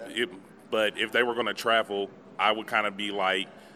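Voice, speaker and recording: The speaker, a man, has a somewhat deep voice. He talks rather briskly. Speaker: podcast co-host and interviewee. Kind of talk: casual interview chat. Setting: outdoors at convention. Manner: energetic, casual slang.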